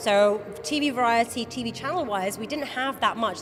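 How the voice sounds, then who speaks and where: A woman's fairly high voice comes through with noticeable background noise. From Wales. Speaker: awards host and judge. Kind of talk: interview. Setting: awards event.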